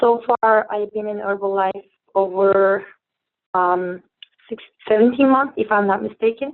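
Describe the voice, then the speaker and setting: In a Turkish accent, a woman speaks with monotone, flat intonation. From Turkey. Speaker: network marketing distributor. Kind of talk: testimony. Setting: phone call. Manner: halting.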